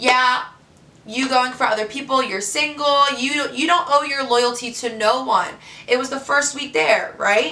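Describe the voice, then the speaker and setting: A woman's raised, projected voice, high-pitched and animated, with ordinary pitch variation, audible room echo and noticeable background noise. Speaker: reality TV contestant. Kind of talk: vlog monologue. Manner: loud.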